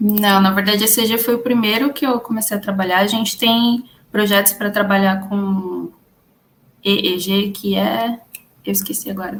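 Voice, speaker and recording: The speaker sounds somewhat breathy, keeping a moderate pace and fairly even intonation. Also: woman, medium pitch for a woman. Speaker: data scientist, conference speaker. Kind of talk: conference Q&A.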